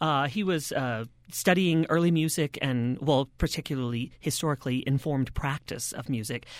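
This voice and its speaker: On a very clean recording with a silent background, a man with a plain, everyday voice speaks at a medium pitch with ordinary pitch variation. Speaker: choral singer. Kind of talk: interview.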